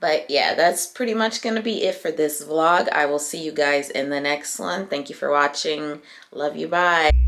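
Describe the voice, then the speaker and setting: A woman speaks with very deep, low pitch and ordinary pitch variation, hardly pausing at all, over music in the background. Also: moderate pace. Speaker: lifestyle vlogger. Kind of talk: casual vlog talk. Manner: casual with many fillers.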